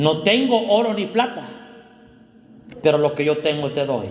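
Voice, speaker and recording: A man talks at a moderate pace with lively intonation. The room echoes audibly, and there is noticeable background noise. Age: 40s. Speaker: pastor. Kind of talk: sermon. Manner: animated.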